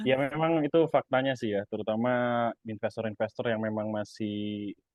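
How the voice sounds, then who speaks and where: With a Javanese accent, a man talks at a moderate pace. His pitch is medium, with ordinary variation. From East Java, Indonesia. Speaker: stock investor and YouTuber. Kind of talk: interview. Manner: casual, hesitant with fillers.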